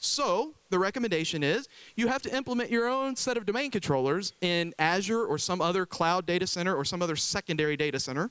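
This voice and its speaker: A man speaks at a very fast pace and a high pitch, with hardly any pauses. His loudness stays very even, and the sound is dry and close with no echo. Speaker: IT consultant presenter. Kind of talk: conference talk.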